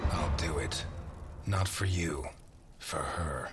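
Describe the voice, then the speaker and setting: With clear background noise behind him, a man growls in a put-on character voice at a very deep, low pitch and a very slow pace. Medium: cartoon. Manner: terse, deadpan.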